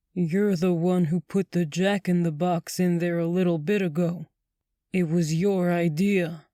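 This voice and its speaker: In a put-on character voice, the speaker holds a middle pitch with monotone, flat intonation at a moderate pace. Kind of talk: spooky theatrical showman voice. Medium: read story.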